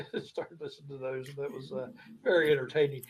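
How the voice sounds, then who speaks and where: Somewhat breathy and fairly high in pitch, a man speaks at a very fast pace. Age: 60s. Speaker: show co-host. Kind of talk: casual chat. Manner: halting, many filler words.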